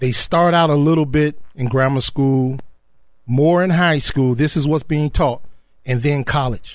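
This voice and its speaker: A man with a plain, everyday voice, fairly high in pitch, with ordinary pitch variation. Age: 50s. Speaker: radio co-host. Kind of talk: talk radio discussion. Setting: studio.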